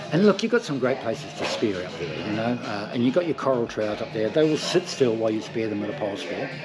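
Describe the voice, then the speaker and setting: With music in the background, a man talks very fast in a New Zealand accent, his intonation lively. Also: medium pitch for a man. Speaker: spearfishing shop salesperson. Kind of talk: in-store product demonstration.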